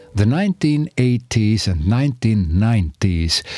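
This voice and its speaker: Recorded very clean with a silent background and a dry, close sound with no echo, a man with an Estonian accent speaks at medium pitch with lively intonation. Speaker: podcast host. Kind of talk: casual monologue; reading aloud. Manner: halting.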